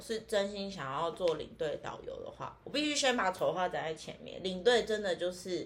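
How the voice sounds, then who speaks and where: At a fairly slow pace, a woman with a normal speaking voice talks at medium pitch. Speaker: tour leader. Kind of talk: casual chat. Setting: in person, same room.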